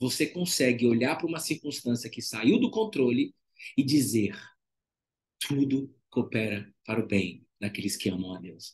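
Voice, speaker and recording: A somewhat breathy man at medium pitch, with lively intonation and a fairly slow pace. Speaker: devotional preacher and former therapist. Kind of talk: live devotional preaching. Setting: livestream with chat.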